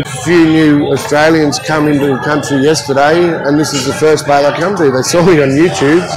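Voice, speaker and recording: Clear music plays in the background while a man speaks at a moderate pace. The sound is dry with no echo. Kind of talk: interview answer. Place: bar.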